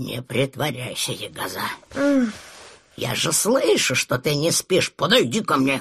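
Raspy and fairly high for a man, his voice moves at a moderate pace with lively intonation and long, frequent pauses. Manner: grumbling, scolding, weary.

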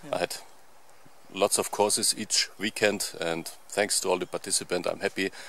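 At a moderate pace, a man talks over light background noise in a dry sound with no echo. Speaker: outdoor channel host. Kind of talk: casual vlog chat. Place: forest. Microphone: phone near.

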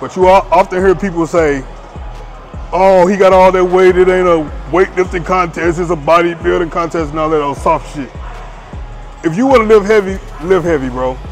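Over clear music in the background, a man with a high pitch talks at a moderate pace in fairly even intonation, with long, frequent pauses. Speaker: fitness creator. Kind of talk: casual vlog chat. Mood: confident, dismissive of critics. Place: gym. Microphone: lapel.

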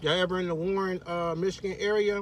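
With light background noise behind him, a man talks at a moderate pace in a high, monotone, flat voice. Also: dry sound with no echo. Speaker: food reviewer. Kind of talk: casual food review vlog. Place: car. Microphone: phone near.

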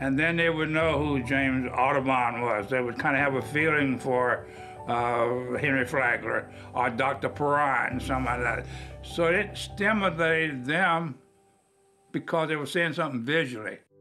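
Clear music plays behind a man who speaks at a moderate pace with ordinary pitch variation and very even loudness. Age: 80s+. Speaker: local historian. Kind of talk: interview answer. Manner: warm, frank.

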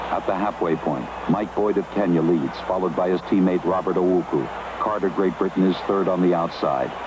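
A man talks with a very deep, low pitch and fairly even intonation. Noticeable background noise can be heard. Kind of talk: 1970s sports broadcast commentary. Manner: rapid, crisp, formal play-by-play, rising urgency through the race.

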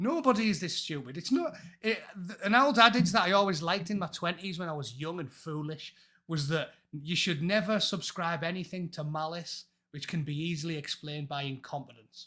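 With an English accent, the voice has a bright, sharp tone, ordinary pitch variation and a fairly quick pace. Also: man, high pitch for a man, quiet background. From England. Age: 40s. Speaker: former Royal Marine and YouTuber; YouTuber. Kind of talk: casual chat. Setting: video call. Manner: animated. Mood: exasperated, opinionated. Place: home room. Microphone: earbuds.

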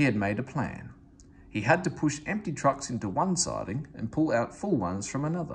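The speech moves at a moderate pace with big pitch swings. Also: man.

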